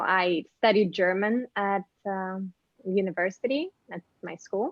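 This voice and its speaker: A woman in a Ukrainian accent. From Ukraine. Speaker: actress and model. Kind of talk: interview. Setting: video call.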